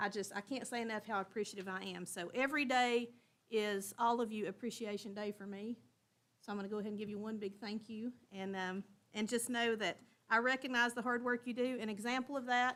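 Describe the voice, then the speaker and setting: Speaking at a fairly quick pace, a woman with a Tennessee accent uses a fairly high pitch and fairly even intonation. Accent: Southern US (Tennessee). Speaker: school district director. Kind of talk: board meeting report. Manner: loud.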